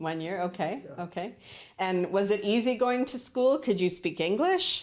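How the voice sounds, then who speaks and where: In a normal speaking voice of medium pitch, a woman speaks fairly slowly with lively intonation. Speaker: show host. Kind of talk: interview questions.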